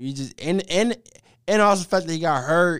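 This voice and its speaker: A very clean recording with a silent background, featuring a man with an American accent. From US Midwest, Cleveland, Ohio. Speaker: sports podcast host. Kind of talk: casual solo sports talk. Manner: animated.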